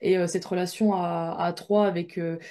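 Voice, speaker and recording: The woman's voice sits at a medium pitch, with a dark, mellow tone and monotone, flat intonation. The background is quiet. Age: 20s. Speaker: professional handball player. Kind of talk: recorded interview. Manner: hesitant, many fillers.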